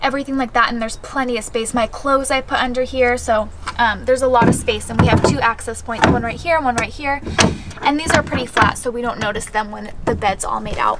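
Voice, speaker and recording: A woman talks at a very fast pace over loud background noise. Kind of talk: casual vlog chat. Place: car. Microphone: camera far.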